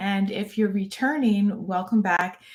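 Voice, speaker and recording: A woman talks in a somewhat breathy voice. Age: 50s. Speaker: fitness YouTuber, former fitness coach. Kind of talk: live-stream casual talk. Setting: live stream. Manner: conversational, with fillers and restarts.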